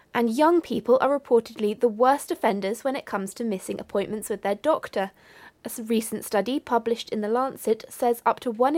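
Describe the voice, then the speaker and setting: A woman with a British accent speaks at a fairly quick pace, her pitch fairly high with ordinary variation. The sound is dry and close with no echo, on a very clean recording over a silent background. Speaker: radio newsreader. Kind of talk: radio news bulletin read from a script. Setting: radio studio broadcast. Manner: crisp, formal, steady and neutral; brisk, measured, businesslike pace.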